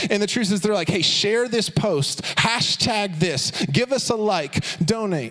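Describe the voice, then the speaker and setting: With noticeable background noise around him, a man speaks in a high pitch at a moderate pace. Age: 30s. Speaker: youth pastor. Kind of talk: sermon. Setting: church. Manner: animated.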